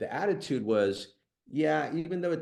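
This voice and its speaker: This man has an unremarkable speaking voice. His intonation is lively and his pace moderate. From Colombia-born, raised in US from age six. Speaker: business founder and CEO. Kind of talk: interview testimony.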